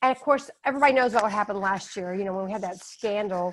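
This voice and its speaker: A woman with a Texan accent speaks at a medium pitch. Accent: Texan American English. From Texas. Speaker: author and test prep educator. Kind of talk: webinar presentation. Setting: online webinar. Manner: fast.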